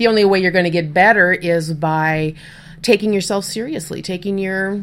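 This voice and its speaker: With an American accent, a woman in an ordinary speaking voice talks at a moderate pace and medium pitch. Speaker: podcast host and freelance writer. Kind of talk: casual interview chat. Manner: laughs often, chatty.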